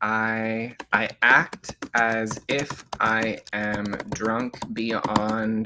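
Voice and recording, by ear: A natural voice reading aloud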